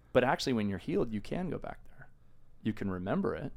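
A man speaks very fast with an American accent. The recording is very clean, with a silent background. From California central coast. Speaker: pastor. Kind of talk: casual chat.

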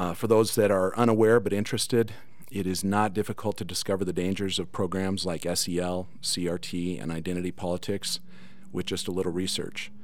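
A man with a very deep, low pitch talks at a fairly quick pace and with fairly even intonation, and audible room echo surrounds his voice. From Cedar City, Utah. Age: 50s. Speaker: school board candidate. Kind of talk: political debate. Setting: studio.

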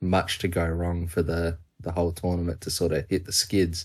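In an Australian accent, a man with a very deep, low, somewhat breathy voice talks at a moderate pace against a quiet background. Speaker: cricket podcast co-host. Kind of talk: casual chat.

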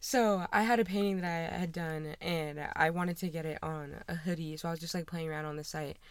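A woman with a plain, everyday voice and an American accent speaks at a fairly quick pace with hardly any pauses and fairly even intonation. Her pitch is fairly low, on a very clean recording with a silent background. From Washington state. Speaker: college athlete and artist. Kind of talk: casual chat. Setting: walk-in closet at a house.

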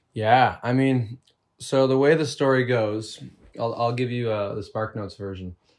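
With a Canadian accent, a man speaks in a plain, everyday voice at a medium pitch and moderate pace with fairly even intonation, on a very clean recording with a silent background. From Canada, Toronto suburbs. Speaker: lead singer of a band. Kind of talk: casual chat.

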